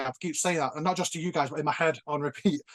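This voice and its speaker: Speaking very fast, a man with a Northern English accent has a fairly high pitch. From northern England. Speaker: nostalgia YouTuber. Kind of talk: casual chat.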